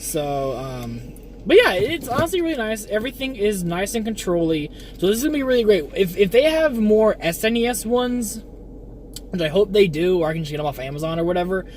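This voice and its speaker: A man's high-pitched voice at a fairly quick pace, with very wide pitch swings and noticeable background noise. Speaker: streamer. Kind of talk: casual unboxing chat. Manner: hesitant, many fillers.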